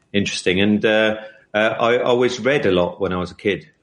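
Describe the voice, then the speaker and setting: In a London accent, a man speaks at a fairly low pitch with fairly even intonation. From England. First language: Hungarian. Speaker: publisher. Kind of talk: podcast interview. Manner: halting, many fillers.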